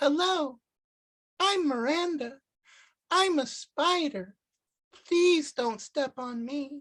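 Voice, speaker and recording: A squeaky, high-pitched put-on character voice moves at a very slow pace with long, frequent pauses. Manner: polite, pleading.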